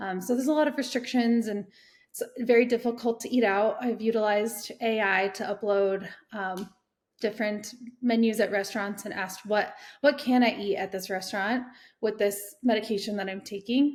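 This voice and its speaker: On a very clean recording with a silent background, a woman with a General American accent speaks at a moderate pace, her fairly high pitch held in fairly even intonation. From Colorado. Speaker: cancer patient. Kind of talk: testimony. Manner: halting.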